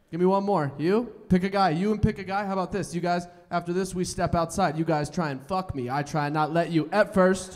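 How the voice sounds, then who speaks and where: A man talks with an American accent at a high pitch. His pace is moderate. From Colorado. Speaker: stand-up comedian. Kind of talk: stand-up comedy set. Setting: stage with live audience. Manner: high-energy, loud, crowd-working. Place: stage. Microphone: handheld.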